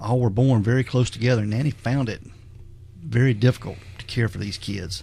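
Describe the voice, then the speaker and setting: With an ordinary speaking voice, a man talks at a fairly quick pace in a medium pitch, his pitch varying in an ordinary way while his loudness swings a lot. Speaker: podcast host. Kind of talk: casual podcast conversation.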